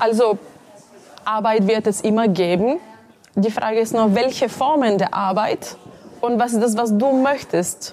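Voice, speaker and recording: Someone with a Bulgarian accent speaks fairly slowly with long, frequent pauses, very even loudness and ordinary pitch variation. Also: woman, fairly high pitch for a woman. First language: Bulgarian (speaking German). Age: 30s. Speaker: entrepreneur and career coach. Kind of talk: interview.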